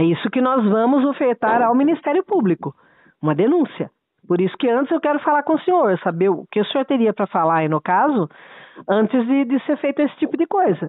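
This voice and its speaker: At a high pitch with very wide pitch swings, a woman talks at a fairly quick pace and very even loudness. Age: 60s. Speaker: lawyer. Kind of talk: heated debate. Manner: animated.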